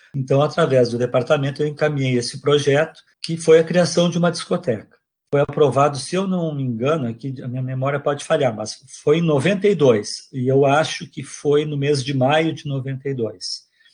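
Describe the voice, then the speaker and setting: A man speaks at a moderate pace in a fairly high voice that is somewhat breathy, with ordinary pitch variation. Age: old. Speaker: retired music professor. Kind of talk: interview testimony. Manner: halting.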